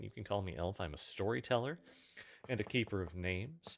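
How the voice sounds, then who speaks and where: Quietly and with vocal fry, a man speaks at a fairly low pitch that makes very wide swings. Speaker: streamer and storyteller. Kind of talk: casual live stream chat.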